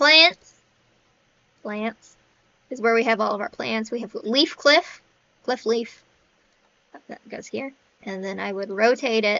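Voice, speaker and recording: A woman speaks with a fairly high pitch and ordinary pitch variation, her loudness swinging widely, with long, frequent pauses. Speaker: indie game developer. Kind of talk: software walkthrough. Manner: fast; casual, self-interrupting.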